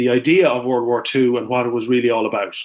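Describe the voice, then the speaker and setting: A man with an Irish accent, medium-pitched, talking at a fairly quick pace. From Ireland, County Longford. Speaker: farmer and author. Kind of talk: interview. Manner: halting.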